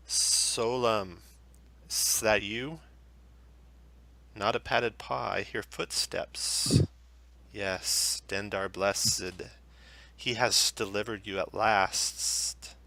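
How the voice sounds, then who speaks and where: A put-on character voice hisses along at a very slow pace. It leaves long, frequent pauses. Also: man. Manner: hissing.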